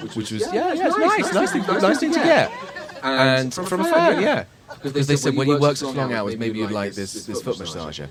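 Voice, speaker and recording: A man at a moderate pace, with crowd noise in the background and audible room echo. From England. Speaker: actor and podcast co-host. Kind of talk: live podcast chat with audience.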